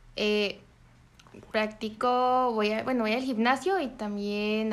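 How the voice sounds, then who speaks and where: This woman has an unremarkable speaking voice, fairly high in pitch, with fairly even intonation. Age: 20s. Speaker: university student. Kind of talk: interview answers.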